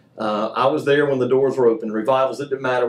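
With fairly even intonation, a man speaks in a medium pitch. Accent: Southern US. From US South, Mobile, Alabama. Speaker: church youth minister. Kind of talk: testimony; casual chat.

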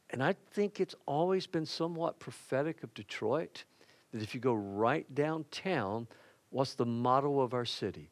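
A plain, everyday voice speaks at a moderate pace with lively intonation. The sound is dry and close, with no echo. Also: man, fairly high pitch for a man. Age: 60s. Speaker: pastor. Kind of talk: sermon. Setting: church.

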